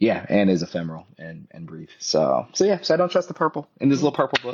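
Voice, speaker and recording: Big swings in loudness and very wide pitch swings mark a man's medium-pitched voice with an American accent, delivered at a very fast pace. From US Midwest, Minnesota (St. Paul area). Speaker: poet. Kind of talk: interview conversation.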